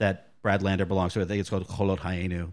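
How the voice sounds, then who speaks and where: A man with an ordinary speaking voice and fairly low pitch talks at a fairly quick pace. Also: quiet background. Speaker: podcast guest. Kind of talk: casual chat.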